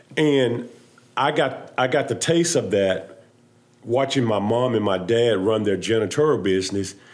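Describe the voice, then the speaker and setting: A man talks at a medium pitch. There is audible room echo. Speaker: business owner, former pro football player. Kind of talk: live panel discussion.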